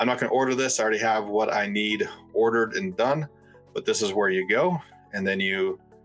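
A man's fairly low voice with ordinary pitch variation and very even loudness, over faint music in the background. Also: fairly quick pace. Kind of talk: tutorial. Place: home room.

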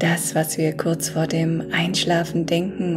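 Speaking very slowly at a fairly low pitch, a woman is heard over clear music in the background. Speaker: affirmation guide. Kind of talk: guided meditation talk. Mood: calm, soothing. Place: home room.

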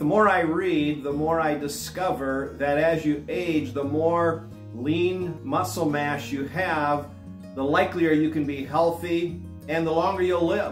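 Amid audible room echo and faint music in the background, a man with a fairly high pitch speaks at a fairly slow pace. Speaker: fitness vlogger. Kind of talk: casual talk to camera, instructional fitness advice. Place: home room. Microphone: lapel.

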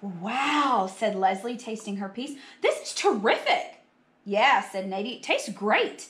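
Reading delivered in an unforced reading voice

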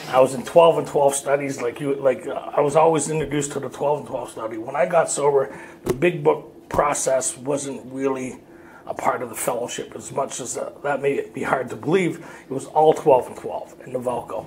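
A man with a fairly high pitch speaks at a moderate pace and fairly even intonation, his loudness swinging widely over noticeable background noise. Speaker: recovery workshop speaker. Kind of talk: personal testimony talk. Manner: casual, conversational.

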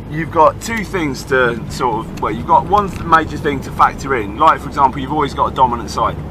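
A man speaks at a fairly quick pace in a dry sound with no echo, with music in the background. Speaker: fitness coach. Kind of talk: casual vlog chat answering a question. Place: car. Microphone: phone near.

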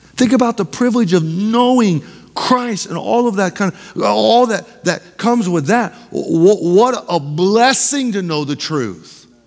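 Against a quiet background, a man with a high pitch speaks in an animated tone at a fairly slow pace. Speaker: pastor. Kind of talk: sermon, Bible study teaching. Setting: church. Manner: animated, pulpit-style exhortation with rhetorical questions. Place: church.

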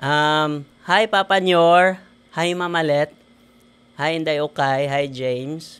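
Speaking at a very slow pace in a Western Visayan accent, a man uses a fairly high pitch and fairly even intonation. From Philippines, Negros Occidental (Himamaylan City); Negros Occidental, Philippines. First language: Hiligaynon (speaking Tagalog). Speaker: engineer and network marketer; podcast guest. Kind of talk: interview. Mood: cheerful, grateful. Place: studio. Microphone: studio mic.

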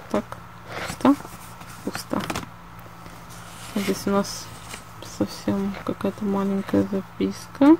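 A woman speaks at a very slow pace with long, frequent pauses. The sound is dry with no echo, though noticeable background noise is present. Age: 20s. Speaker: illustrator and artist. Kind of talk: casual talk to camera. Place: home room. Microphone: phone near.

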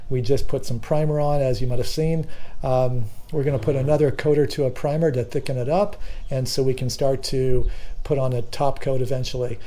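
A man talks at a fairly quick pace. His intonation is fairly even. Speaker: boat builder vlogger. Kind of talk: casual vlog chat. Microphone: phone near.

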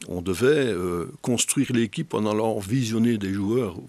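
A man talks at a very slow pace in a fairly low pitch with ordinary pitch variation. The sound is dry with no echo. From Belgium. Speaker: football federation director, former coach; former coach. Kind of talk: interview. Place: studio. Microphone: studio mic.

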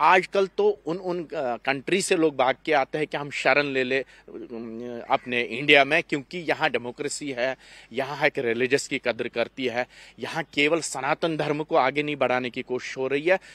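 At a fairly slow pace, a man speaks in a bright, sharp tone, the sound dry with no echo. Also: ordinary pitch variation. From Kashmir, Anantnag district; Kashmir. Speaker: Kashmiri Pandit community representative; interviewee. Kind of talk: panel discussion. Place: garden. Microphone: handheld.

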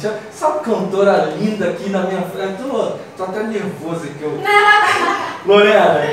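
A man's high voice with ordinary pitch variation at a fairly slow pace, with light background noise and strong room echo. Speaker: radio host. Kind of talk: radio talk show. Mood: warm, slightly nervous. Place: studio.

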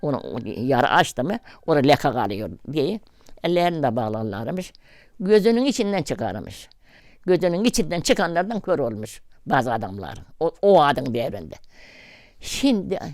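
A woman speaks with a very deep, low pitch and vocal fry. Her pitch swings very widely. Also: moderate pace. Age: 80s+. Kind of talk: interview answer.

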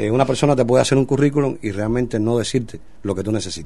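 Talking very fast, a man uses a dark, mellow tone with ordinary pitch variation. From Cuba. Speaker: singer. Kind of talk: radio interview. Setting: studio. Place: studio.

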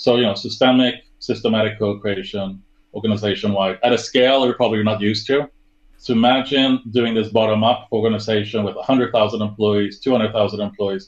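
Speaking fairly quickly with a Swedish accent, a man uses a fairly low voice with monotone, flat intonation against a quiet background. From Sweden. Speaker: service design director; interview guest. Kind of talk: interview. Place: home room.

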